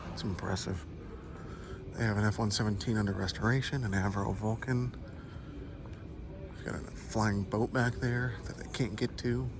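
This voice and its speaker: The speech moves at a moderate pace with long, frequent pauses and ordinary pitch variation. Noticeable background noise is present. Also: man, fairly low pitch for a man. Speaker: vlogger. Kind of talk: casual vlog narration. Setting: indoor museum hangar.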